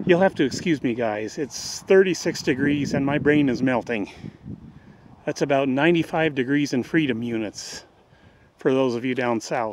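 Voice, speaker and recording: A man at a moderate pace with ordinary pitch variation, in a dry sound with no echo and light background noise. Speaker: walking tour vlogger. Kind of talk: casual vlog chat. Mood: hot, relaxed, joking. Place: street. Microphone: phone near.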